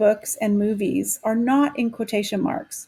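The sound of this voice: The intonation is fairly even. It is delivered in an unforced reading voice.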